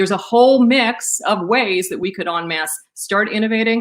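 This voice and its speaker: A woman at a medium pitch speaks with lively intonation. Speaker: panel moderator. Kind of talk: webinar presentation. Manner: fast.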